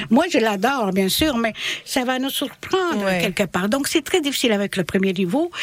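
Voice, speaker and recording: Very wide pitch swings run through a woman's speech at a fairly slow pace. Noticeable background noise sits behind her. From Bosnia. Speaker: French language teacher. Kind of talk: radio interview. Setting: studio.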